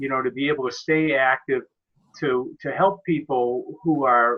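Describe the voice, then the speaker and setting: A man with a fairly high pitch and an ordinary speaking voice. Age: 60s. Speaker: software consultant and network marketer. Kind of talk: personal testimony in group web presentation.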